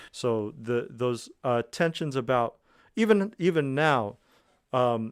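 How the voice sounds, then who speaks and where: A man's normal speaking voice with an American accent, medium in pitch, with ordinary pitch variation, on a very clean recording with a silent background. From United States. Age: 30s. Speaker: musician. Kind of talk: radio interview.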